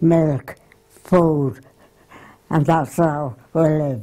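Speaking very slowly with a Yorkshire accent, a woman has a fairly low pitch and a dark, mellow tone. The background is quiet. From Wakefield area, Yorkshire, England. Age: 80s+. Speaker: grandmother recalling her life. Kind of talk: interview answer. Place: home room. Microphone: lapel.

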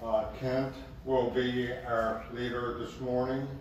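A man speaks at a very slow pace, with strong room echo and light background noise. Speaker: pastor leading a service. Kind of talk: welcome and prayer. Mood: calm solemn. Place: hall.

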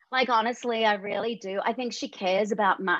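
Recorded with a dry sound with no echo and a quiet background, a woman talks in an Australian accent. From Western Australia. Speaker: voice actor; guest actor. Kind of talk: casual interview. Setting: video call. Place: home room. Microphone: video call.

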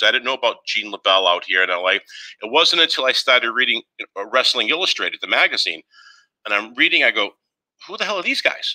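A man speaks with a Boston accent at a fairly quick pace. The background is quiet. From Boston, Massachusetts. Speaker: former wrestling TV writer and artist. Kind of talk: live interview. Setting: video call. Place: home room. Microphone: headset.

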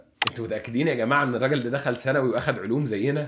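Noticeable background noise sits behind a man's fairly high voice. His tone is animated. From Egypt. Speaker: doctor and science educator YouTuber; science educator YouTuber. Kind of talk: monologue video essay debunking claims. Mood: sarcastic, mocking. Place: studio.

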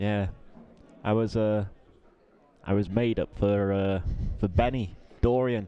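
In a dark, mellow tone, the speech goes at a fairly slow pace, broken by long, frequent pauses. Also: man, fairly low pitch for a man. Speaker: co-commentator and pool player. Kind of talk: live sports commentary. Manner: casual, animated.

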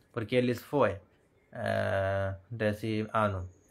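Very slow speech from a man, with fairly even intonation. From India. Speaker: YouTuber. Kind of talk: casual chat. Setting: live stream at home. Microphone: earbuds.

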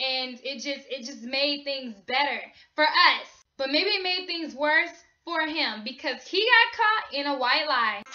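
A woman uses a raised, projected voice at a fairly slow pace. Music plays in the background. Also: lively intonation. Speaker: gossip vlogger. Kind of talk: casual vlog chat. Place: home room. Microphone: webcam.

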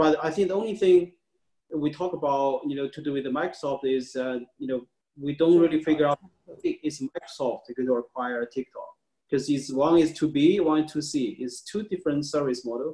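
A man with a Chinese accent talks fairly quickly in a fairly high voice with a dark, mellow tone. His pitch varies in an ordinary way against a quiet background. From China. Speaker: tech media founder; interviewee. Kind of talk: interview. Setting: video call. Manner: halting. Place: home room. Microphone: video call.

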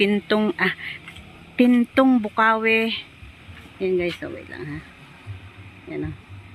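The speech moves very slowly with long, frequent pauses and big swings in loudness over noticeable background noise. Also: woman. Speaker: vlogger, overseas domestic worker. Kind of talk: casual vlog narration. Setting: outdoors.

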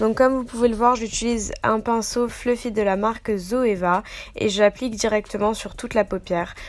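A woman with a normal speaking voice, fairly high pitch, fairly even intonation and a moderate pace. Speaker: beauty youtuber. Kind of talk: makeup tutorial. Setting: voice-over.

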